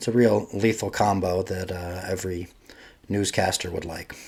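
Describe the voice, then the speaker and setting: At a moderate pace, a man with an American accent speaks with fairly even intonation. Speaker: sports podcast host. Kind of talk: solo sports podcast monologue. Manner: casual, with filler words.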